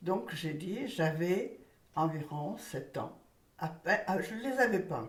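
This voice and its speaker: A woman with a fairly low voice speaks very slowly, her intonation lively, with audible echo in the room. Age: 90s. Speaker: elderly witness recounting childhood memories. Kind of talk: testimony.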